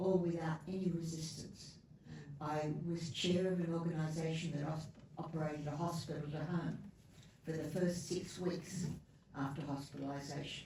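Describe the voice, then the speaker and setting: The speaker talks at a moderate pace. Noticeable background noise is present. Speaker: peer worker. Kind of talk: audience question. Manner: loud.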